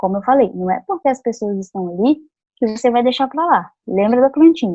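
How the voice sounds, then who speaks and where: Moving at a fairly quick pace, a woman's voice shows very wide pitch swings. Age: 20s. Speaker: psychologist and youth club trainer. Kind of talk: training lecture.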